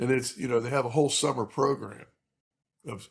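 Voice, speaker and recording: A man's somewhat breathy voice. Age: 60s. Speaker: high school baseball coach. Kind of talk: casual interview chat. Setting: remote recording. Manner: halting, many fillers.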